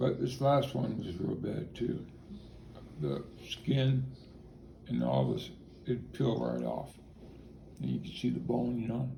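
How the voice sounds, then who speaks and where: A man talks in an American accent at a fairly slow pace. Long, frequent pauses break his speech, and audible room echo surrounds it. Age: 60s. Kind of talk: interview. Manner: halting.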